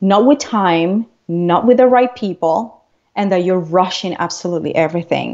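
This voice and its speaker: A woman with a non-native accent talks at a moderate pace with ordinary pitch variation. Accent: foreign. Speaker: transformational coach. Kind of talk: interview. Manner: animated.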